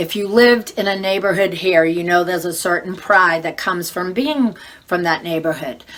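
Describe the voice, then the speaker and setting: Over noticeable background noise, a woman with a strong Boston accent talks at a moderate pace and medium pitch with ordinary pitch variation. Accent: Boston accent, thick. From Boston area, Massachusetts. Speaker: real estate agent. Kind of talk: casual informational vlog. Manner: conversational with fillers.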